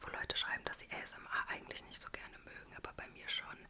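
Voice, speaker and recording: A woman whispers, soft-spoken, at a very fast pace. Loud background noise fills the clip. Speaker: ASMR YouTuber. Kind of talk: casual vlog chat. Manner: soft close-mic whisper. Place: home room. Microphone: studio mic.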